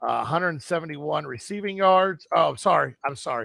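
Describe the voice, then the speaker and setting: The tone is bright and sharp, with vocal fry. The sound is dry and close, with no echo. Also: man. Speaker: fantasy football podcast co-host. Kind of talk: casual chat. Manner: halting.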